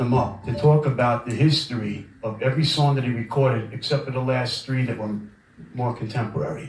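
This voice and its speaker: Speaking with a New York accent and ordinary pitch variation, this voice comes through noticeable background noise and audible room echo. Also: man. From Brooklyn, New York. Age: 50s. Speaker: record label owner. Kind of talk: guest lecture. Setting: lecture room with audience. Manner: casual, conversational.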